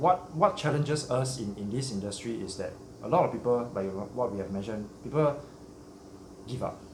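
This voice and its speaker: A man with lively intonation, audible room echo and noticeable background noise. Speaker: shrimp hobby channel host. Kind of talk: casual interview chat.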